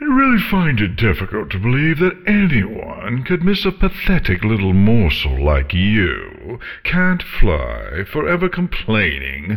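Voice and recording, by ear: In a put-on character voice, a man talks at a fairly slow pace with few pauses, his fairly low pitch making very wide swings.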